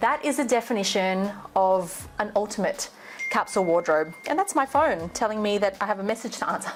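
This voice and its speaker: Over music in the background, a woman with a medium pitch speaks at a fairly quick pace with lively intonation and very even loudness. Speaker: fashion stylist and vlogger. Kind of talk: casual talk-to-camera tutorial. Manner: animated.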